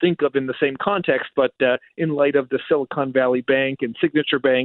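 A man's normal speaking voice, fairly high in pitch with ordinary pitch variation. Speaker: economist. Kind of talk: radio interview, economic analysis.

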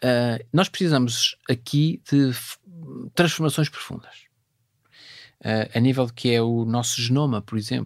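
A man speaks at a fairly slow pace in a medium pitch with ordinary pitch variation, recorded very cleanly against a silent background with a dry, close sound and no echo. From northern Portugal, Vila Nova de Cerveira (Minho). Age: 50s. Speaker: space agency president. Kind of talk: interview. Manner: halting, many fillers.

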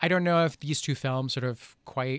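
Recorded very cleanly against a silent background with a dry, close sound and no echo, a man uses a normal speaking voice at a moderate pace. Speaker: film critic. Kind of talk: film review discussion.

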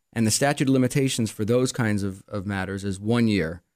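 A man speaks with a Quebec accent at a medium pitch, using ordinary pitch variation and a fairly quick pace. The recording is very clean, with a silent background. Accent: Canadian, Quebec-tinged English. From Montreal, Quebec, Canada. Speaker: attorney. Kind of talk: casual interview. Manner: hesitant, filler-heavy.

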